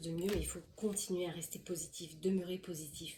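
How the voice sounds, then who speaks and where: Speaking at a fairly quick pace, a woman has a dark, mellow tone that is somewhat breathy. Her intonation is monotone and flat. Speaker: tarot card reader. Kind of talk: tarot reading. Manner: fast; halting.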